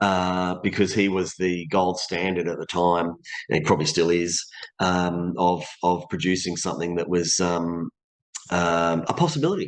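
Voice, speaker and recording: Speaking at a moderate pace over a quiet background, a man with an Australian accent has a very deep, low pitch and monotone, flat intonation. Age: 50s. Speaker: voice actor and stunt performer. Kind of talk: interview.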